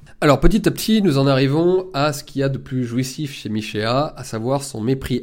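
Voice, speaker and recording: A man with a plain, everyday voice, medium pitch and ordinary pitch variation, at a moderate pace in a very clean recording with a silent background. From rural France. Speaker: political commentator and author. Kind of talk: monologue book review.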